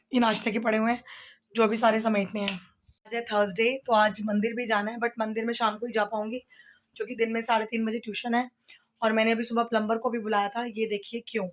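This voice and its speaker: A woman speaks in a fairly high pitch. Her intonation stays monotone and flat. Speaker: home vlogger. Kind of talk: casual vlog talk. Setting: at home.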